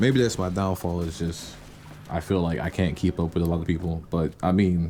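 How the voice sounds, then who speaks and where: Speaking at a moderate pace, a man with a very deep, low pitch uses ordinary pitch variation. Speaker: gaming YouTuber and music maker. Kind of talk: casual channel intro monologue. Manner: hesitant, many fillers; laid back.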